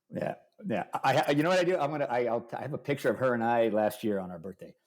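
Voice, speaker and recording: A man talks at a very fast pace with an energetic tone. His intonation is lively. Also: medium pitch for a man. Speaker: architect. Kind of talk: casual chat.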